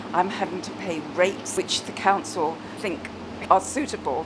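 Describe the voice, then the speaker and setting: Over noticeable background noise, a woman of medium pitch speaks at a moderate pace. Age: 70s. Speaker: shop owner. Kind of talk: interview testimony.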